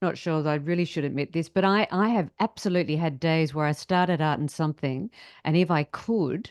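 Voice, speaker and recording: A woman with an unremarkable speaking voice talks at a fairly quick pace, her fairly low pitch moving with ordinary variation and her loudness very even, in a dry, close sound with no echo. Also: quiet background. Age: 60s. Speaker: podcast host. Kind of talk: podcast interview.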